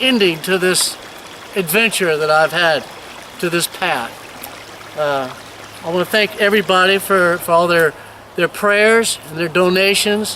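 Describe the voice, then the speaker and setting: A man's raised, projected voice at a high pitch, fairly slow with long, frequent pauses and ordinary pitch variation, over noticeable background noise. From Virginia, US. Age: 60s. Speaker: missionary. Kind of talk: video tour and personal testimony. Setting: outdoors.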